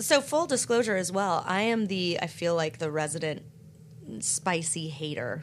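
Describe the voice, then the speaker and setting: An unremarkable speaking voice from a woman with an American accent, fairly low in pitch, lively in intonation, at a moderate pace. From US South, North Carolina. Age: 30s. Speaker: podcast guest, neighbor of hosts. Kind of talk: casual chat.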